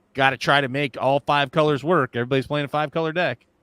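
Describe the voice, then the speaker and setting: On a very clean, dry, close recording with a silent background and no echo, a man with an American accent speaks at a fairly quick pace. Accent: slight Southern accent, comes out at times. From US South (Virginia). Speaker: podcast co-host. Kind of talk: casual chat. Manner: halting, many false starts and repeats.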